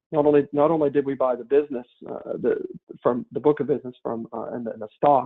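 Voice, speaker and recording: This man talks at a fairly quick pace. He has a Southern US accent. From US South. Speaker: company partner. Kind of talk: business webinar presentation. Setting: webinar. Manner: halting, many fillers and restarts.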